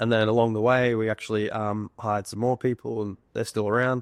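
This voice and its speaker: Very fast and monotone, a man talks at a medium pitch in a dry, close sound with no echo. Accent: Australian. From Australia, Sunshine Coast Queensland. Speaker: software founder, former estimator. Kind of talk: casual interview chat. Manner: hesitant, many fillers and repeats.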